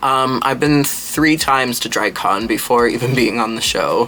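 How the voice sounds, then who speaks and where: A man speaks quietly at a medium pitch and a fairly slow pace. His pitch varies in an ordinary way over noticeable background noise. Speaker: drag performer and makeup artist. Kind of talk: makeup tutorial with Q&A chat. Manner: quiet, low-volume.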